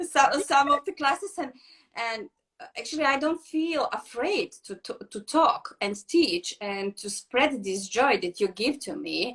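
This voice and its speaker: Speaking at a fairly slow pace, a woman with a high pitch makes very wide pitch swings and big swings in loudness. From Serbia. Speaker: yoga teacher. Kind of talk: casual interview. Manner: halting.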